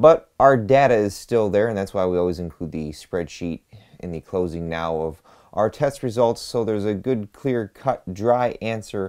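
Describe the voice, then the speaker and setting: A plain, everyday voice moves at a moderate pace with lively intonation against a quiet background. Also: man. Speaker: channel host. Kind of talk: product review commentary. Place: home room.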